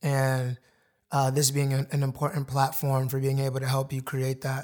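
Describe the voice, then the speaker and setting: On a very clean recording with a silent background, a man speaks in a somewhat breathy voice at a fairly high pitch. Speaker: podcast host. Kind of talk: casual interview chat. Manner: casual, slangy, friendly.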